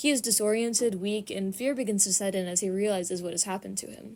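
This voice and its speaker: A woman speaks at a very fast pace in a very clean recording with a silent background. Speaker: book video creator. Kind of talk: scripted narration.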